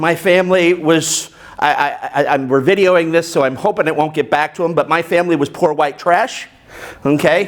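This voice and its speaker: A man with a high pitch and an American accent speaks at a moderate pace with ordinary pitch variation, with noticeable background noise behind him. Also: very even loudness. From United States. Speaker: business coach and motivational speaker. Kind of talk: speech to a club meeting. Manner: loud.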